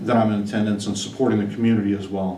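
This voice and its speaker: Noticeable background noise and audible room echo surround a man speaking in a fairly low pitch with monotone, flat intonation. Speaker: superintendent job candidate. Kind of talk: job interview.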